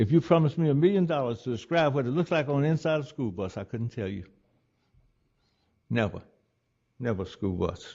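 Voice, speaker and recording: A man with an Alabama accent, medium-pitched, very fast, with very wide pitch swings and long, frequent pauses. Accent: Southern US (Alabama). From US South. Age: 80s+. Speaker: retired doctor and civil rights pioneer. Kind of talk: public talk.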